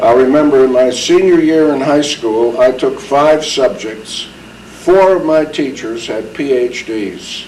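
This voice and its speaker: A man with an American accent talks at a fairly high pitch. Noticeable background noise and audible room echo are present. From US Northeast, New Haven, Connecticut. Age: 70s. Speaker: war veteran. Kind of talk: oral history interview. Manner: halting.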